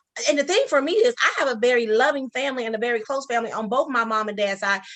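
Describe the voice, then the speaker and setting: Very fast speech in an American accent, with ordinary pitch variation over noticeable background noise. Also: woman, high pitch for a woman. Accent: Geechee-tinged, people say she talks funny. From Sacramento, California. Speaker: author and social worker. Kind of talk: casual interview chat.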